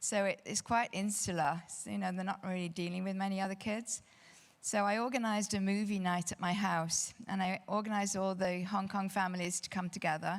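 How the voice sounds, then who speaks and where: In a very clean recording with a silent background, a woman with a British accent talks fairly quickly at a medium pitch, her intonation monotone and flat. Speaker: real estate advisor panelist. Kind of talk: panel discussion. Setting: stage with audience.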